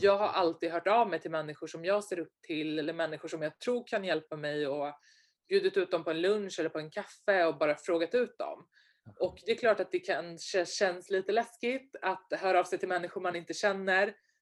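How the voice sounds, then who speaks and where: A normal speaking voice with ordinary pitch variation moves along at a moderate pace. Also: woman, medium pitch for a woman. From Sweden, Stockholm suburbs. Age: 20s. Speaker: entrepreneur and investor. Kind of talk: interview.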